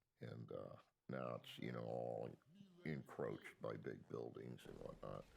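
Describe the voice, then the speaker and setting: The speaker has an American accent and vocal fry and moves at a moderate pace. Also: man. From Miami, Florida. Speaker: interviewee telling life story. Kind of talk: oral history interview. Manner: halting with many fillers.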